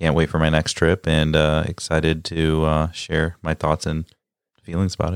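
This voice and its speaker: A man with a Midwestern accent and a very deep, low pitch at a moderate pace, in a dry, close sound with no echo on a very clean recording with a silent background. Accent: American (Midwest). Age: 20s. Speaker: travel guest. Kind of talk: casual chat.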